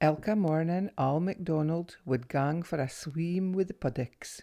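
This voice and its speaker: In a Northeast Scottish accent, the speaker has a dark, mellow tone and a fairly slow pace. The recording is very clean, with a silent background. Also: woman. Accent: North-East Scots (Doric). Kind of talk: children's story reading.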